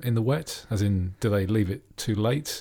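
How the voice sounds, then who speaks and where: The man's voice is somewhat breathy. The recording is very clean, with a silent background. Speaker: F1 podcast host. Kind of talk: casual banter about F1. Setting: home recording with separate microphones.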